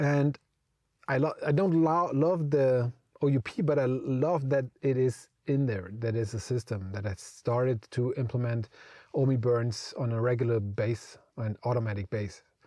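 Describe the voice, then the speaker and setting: Against a quiet background, a man with a dark, mellow tone talks at a medium pitch and a fairly slow pace with ordinary pitch variation. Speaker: crypto collectibles youtuber. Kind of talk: casual commentary vlog. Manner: halting, stuttering.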